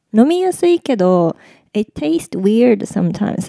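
In a very clean recording with a silent background, a woman with a dark, mellow tone talks at a very slow pace, the sound dry and close with no echo. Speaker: podcast co-host. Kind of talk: casual chat.

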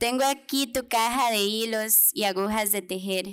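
With a fairly high pitch and fairly even intonation, a woman talks at a moderate pace. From Costa Rica, Pérez Zeledón, rural; Costa Rica. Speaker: poet. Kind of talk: poetry reading. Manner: tender, nostalgic, measured. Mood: tender, nostalgic, solemn. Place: hall.

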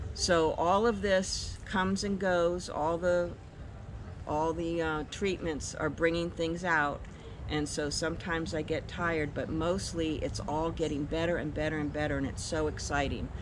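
Over noticeable background noise, a woman with a fairly low pitch talks at a moderate pace, using ordinary pitch variation and vocal fry. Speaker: guest. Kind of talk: testimonial interview answer. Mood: enthusiastic, grateful. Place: garden.

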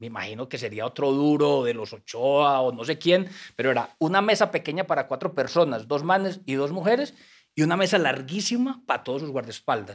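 Against a quiet background, a man talks at a fairly quick pace. His voice is fairly high with lively intonation. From Colombia, Antioquia (paisa). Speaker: writer and former troubadour; guest. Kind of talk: casual interview. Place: studio. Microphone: studio mic.

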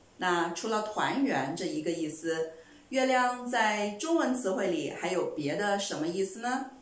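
A woman talks at a fairly slow pace and medium pitch, her pitch swinging very widely. Room echo can be heard. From China. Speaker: language teacher; Mandarin teacher. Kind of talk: lecture.

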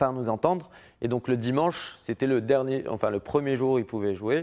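The background is quiet. A man talks at a moderate pace, using a medium pitch with ordinary pitch variation. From Morocco, Casablanca. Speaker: music festival president; interview guest. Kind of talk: TV interview. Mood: relaxed, friendly. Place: studio. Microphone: lapel.

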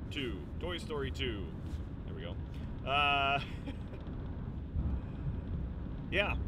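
Against loud background noise, a man talks at a very slow pace in a dry sound with no echo. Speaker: vlogger driving. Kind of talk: casual vlog chat. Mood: playful, joking. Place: car. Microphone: phone near.

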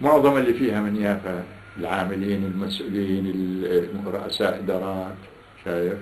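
A man in a Palestinian accent, fairly low in pitch with ordinary pitch variation, over light background noise. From Salama, Jaffa, Palestine. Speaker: Nakba survivor, oral history interviewee. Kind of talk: interview answer. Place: home room. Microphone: camera far.

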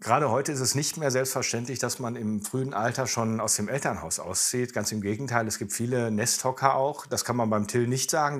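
Against a quiet background, the speaker goes at a fairly quick pace with fairly even intonation. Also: man. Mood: calm, reassuring.

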